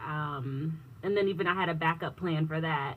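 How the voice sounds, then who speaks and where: Somewhat breathy, a woman with a very deep, low pitch speaks at a moderate pace. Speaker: business technology consultant. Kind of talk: radio interview.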